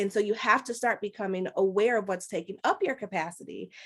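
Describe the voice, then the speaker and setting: Against a quiet background, a woman with an American accent talks in an ordinary speaking voice at medium pitch with ordinary pitch variation. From Chicago, Rogers Park. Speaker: life coach. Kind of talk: webinar talk.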